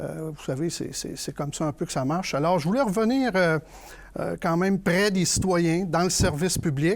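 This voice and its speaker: The man's pitch is high and varies in an ordinary way. He keeps a moderate pace. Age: 60s. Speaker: political candidate. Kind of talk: panel discussion.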